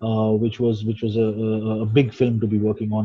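The background stays quiet while a male speaker talks. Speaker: guest. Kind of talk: interview answer. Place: home room. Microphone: video call.

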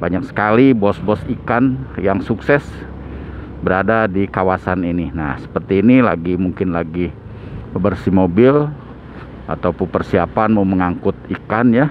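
A man's very deep, low voice at a fairly slow pace, dry with no echo, over light background noise. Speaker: travel vlogger. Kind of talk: casual vlog commentary.

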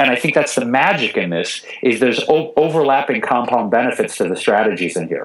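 A man talks with hardly any pauses. His medium-pitched voice carries vocal fry. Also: lively intonation, fairly quick pace. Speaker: vegan chef and TV host. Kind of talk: interview answer. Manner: passionate, comedic delivery.

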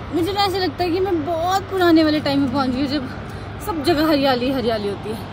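With lively intonation and a high voice, a woman speaks at a moderate pace in a dry sound with no echo, though background noise is noticeable. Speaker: vlogger. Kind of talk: casual vlog talk. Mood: happy, nostalgic. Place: open country. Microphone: phone near.

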